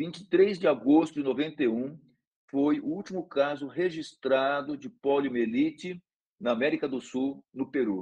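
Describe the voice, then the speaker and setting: In a normal speaking voice pitched fairly high for a man, he delivers his words at a moderate pace with ordinary pitch variation. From Brazil, São Paulo state countryside. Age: 60s. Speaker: neurology professor. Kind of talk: lecture.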